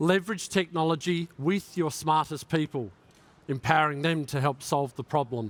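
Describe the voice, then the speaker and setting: At a moderate pace, a man with fairly high pitch speaks in an Australian accent with ordinary pitch variation. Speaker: tech executive giving a keynote. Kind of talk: keynote speech.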